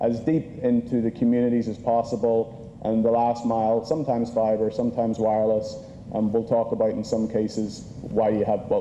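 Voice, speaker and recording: The speech comes at a fairly quick pace with monotone, flat intonation. Noticeable background noise runs underneath. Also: man. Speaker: conference speaker. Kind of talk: conference presentation.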